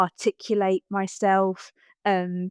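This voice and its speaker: A woman with a slight Essex accent, very slow pace, and a dry, close sound with no echo. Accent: slight Essex twang. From Essex, England. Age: 30s. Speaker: motivational speaker. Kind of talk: interview conversation.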